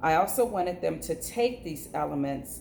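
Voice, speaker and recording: The voice has vocal fry and lively intonation, moving at a fairly slow pace. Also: woman. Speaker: teacher. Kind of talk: video reflection.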